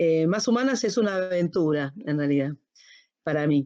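A woman with a plain, everyday voice talks with lively intonation, keeping a moderate pace. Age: 50s. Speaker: HR and organizational consultant. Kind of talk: casual chat. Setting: recording from home.

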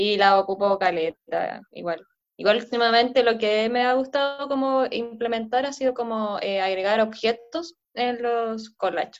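Speaking in a Chilean accent, a woman uses a fairly high pitch, ordinary pitch variation and a fairly slow pace. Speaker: podcast host and collage artist. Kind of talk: casual chat.

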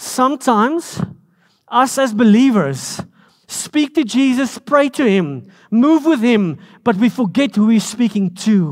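At a fairly slow pace, a man speaks with an extremely high pitch and very even loudness. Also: lively intonation. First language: Afrikaans. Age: 40s. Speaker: pastor. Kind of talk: sermon. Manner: animated.

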